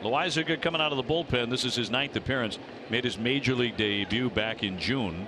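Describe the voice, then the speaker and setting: A man talks at a fairly quick pace in an animated tone, with ordinary pitch variation. Noticeable background noise runs underneath. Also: medium pitch for a man, very even loudness. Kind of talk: live sports commentary. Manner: fast, excited play-by-play delivery; animated, rising on big moments.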